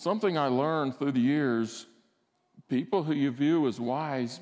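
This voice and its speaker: A man talks at a moderate pace in a Southern US accent. His pitch is fairly high, with ordinary variation. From Alabama, US South. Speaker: guest preacher, former military flight instructor. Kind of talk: sermon. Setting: church service.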